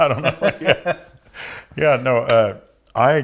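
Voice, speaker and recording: A man talks with fairly even intonation in a very clean recording with a silent background. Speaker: rock drummer. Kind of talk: interview. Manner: soft-spoken.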